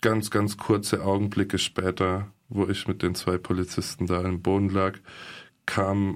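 A very deep, low male voice with monotone, flat intonation at a very slow pace, in a very clean recording with a silent background. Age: 20s. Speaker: alleged victim of police violence. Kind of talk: interview testimony. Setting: studio.

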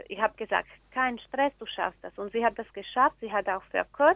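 The speaker uses fairly even intonation in a Slovak accent. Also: woman. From Slovakia. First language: Slovak (speaking German). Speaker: teacher and community organizer. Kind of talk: interview. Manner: halting, with fillers.

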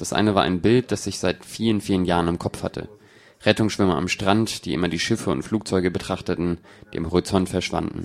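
The voice belongs to a man with a very deep, low pitch. He keeps to a moderate pace. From Brazil. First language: Portuguese (speaking German). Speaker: film director. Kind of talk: audience Q&A, German dub. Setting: stage with audience.

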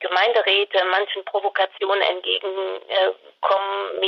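A woman speaks with a French accent. Noticeable background noise can be heard. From France. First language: French (speaking German). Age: 60s. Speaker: candidate, retired care manager. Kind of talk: interview. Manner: hesitant, many fillers.

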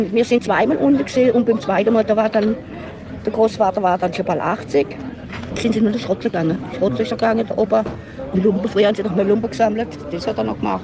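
Crowd noise fills the background as a woman with a fairly high pitch speaks very fast with ordinary pitch variation, broken by long, frequent pauses. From southern Germany, Singen and Freiburg (Baden). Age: 70s. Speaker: Yenish contemporary witness. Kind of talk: interview, life story. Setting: outdoors at a festival ground. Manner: halting.

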